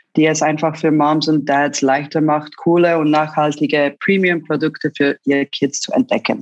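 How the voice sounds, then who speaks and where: In a Swiss accent, a woman speaks at a very deep, low pitch. Her pace is fairly slow, and the sound is dry and close with no echo. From Switzerland, Zurich. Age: 30s. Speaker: online shop founder. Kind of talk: interview. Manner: halting.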